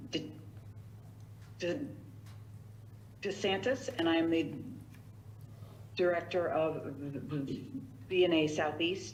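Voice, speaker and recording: A woman's fairly low pitch and lively intonation at a very slow pace with long, frequent pauses, audible room echo and noticeable background noise. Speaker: director of a visiting nurse agency. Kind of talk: public meeting budget report. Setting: town council meeting. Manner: halting, many fillers and repetitions.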